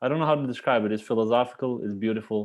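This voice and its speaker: A man with an Albanian accent. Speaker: cellist. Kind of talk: casual chat. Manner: halting.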